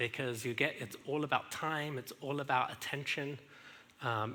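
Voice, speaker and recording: A man with an English accent and medium pitch speaks at a moderate pace in a bright, sharp tone with fairly even intonation. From England. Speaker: speaker sharing marriage story. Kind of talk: testimony. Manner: halting, many fillers.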